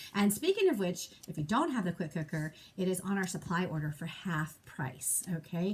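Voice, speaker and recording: A woman with a somewhat breathy, fairly low voice speaks at a fairly quick pace. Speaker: direct sales consultant and trainer. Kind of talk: training call. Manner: fast.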